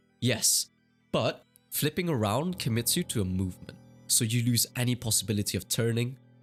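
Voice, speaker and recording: Music in the background behind a man's medium-pitched voice, moderate pace, lively intonation and very even loudness. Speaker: competitive gamer and coach. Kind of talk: gaming tutorial narration.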